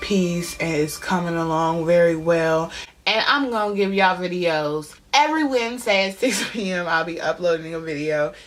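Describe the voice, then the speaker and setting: Moderate in pace, a woman speaks at a fairly low pitch. Noticeable background noise can be heard. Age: 20s. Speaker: beauty vlogger. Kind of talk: casual talk to camera. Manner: casual, slangy.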